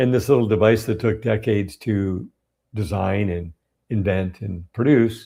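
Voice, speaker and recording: A fairly low, somewhat breathy male voice with a dark, mellow tone, ordinary pitch variation, and a very clean recording with a silent background. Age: 60s. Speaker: health educator. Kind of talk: live-streamed Q&A monologue. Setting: live stream. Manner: animated.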